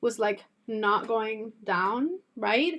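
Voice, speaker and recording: A woman with a Spanish accent has a fairly high pitch. The recording is very clean, with a silent background. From Cuba. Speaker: beauty youtuber. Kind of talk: casual chat. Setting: live stream. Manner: chatty.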